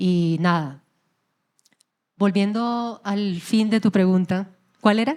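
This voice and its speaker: A woman talks at a very slow pace, with long, frequent pauses. Her pitch is medium, with ordinary variation. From Colombian llanos (Yopal). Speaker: singer. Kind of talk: interview. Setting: stage with audience.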